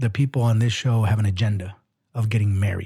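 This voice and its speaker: The voice belongs to a man. It has a dark, mellow tone and sounds somewhat breathy. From Mexican heritage. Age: 40s. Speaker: podcast co-host. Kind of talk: casual chat.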